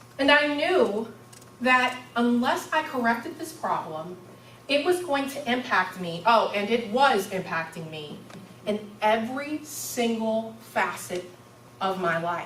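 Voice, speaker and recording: Loud and at a fairly slow pace, a woman with a fairly high pitch makes very wide pitch swings amid audible room echo and noticeable background noise. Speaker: university student giving a speech. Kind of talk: public speech. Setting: stage with audience.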